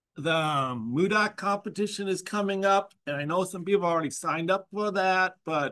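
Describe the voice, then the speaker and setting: With ordinary pitch variation, the man speaks at a moderate pace. Behind him, things stay quiet. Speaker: university instructor. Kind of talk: lecture announcement. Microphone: video call.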